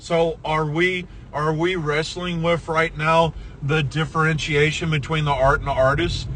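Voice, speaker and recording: Over noticeable background noise, a man with a fairly high voice talks at a fairly slow pace in a monotone, flat way. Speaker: podcast host. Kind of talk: casual chat. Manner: halting.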